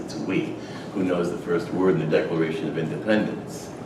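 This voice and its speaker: A man with an American accent talks at a fairly quick pace. There is noticeable background noise and audible room echo. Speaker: retired army officer and lecturer. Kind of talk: lecture. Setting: stage with audience. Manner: hesitant fillers.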